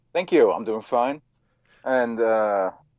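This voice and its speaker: With a Dutch accent, a man speaks at a medium pitch and a very slow pace. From Netherlands. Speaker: occult author. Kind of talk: interview. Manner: halting.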